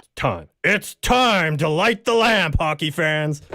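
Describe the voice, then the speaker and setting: This is a put-on character voice at a middle pitch, delivered at a fairly slow pace. The recording is very clean with a silent background. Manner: hyped, announcer delivery.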